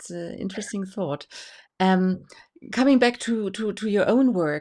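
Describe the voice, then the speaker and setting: Over a silent background in a very clean recording, a woman with a German accent speaks at a moderate pace, her medium pitch and dark, mellow tone showing ordinary pitch variation. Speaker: tarot association host. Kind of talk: interview. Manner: halting.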